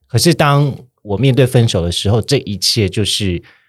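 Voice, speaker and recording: This man speaks at a moderate pace with a medium pitch and lively intonation, his voice somewhat breathy. The recording is very clean, with a silent background. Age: 30s. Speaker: podcast host. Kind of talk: casual chat.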